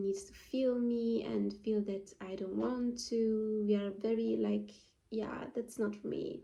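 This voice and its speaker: There is a non-native accent in this woman's speech. She talks fairly slowly. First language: not English. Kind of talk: casual talk to camera. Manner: halting, many fillers.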